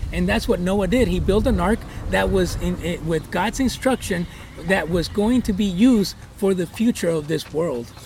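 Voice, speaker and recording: Noticeable background noise sits behind the recording. A man speaks at a moderate pace. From Guatemala, moved to US at 10. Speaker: pastor and church planter. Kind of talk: interview. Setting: outdoors at a horse ranch.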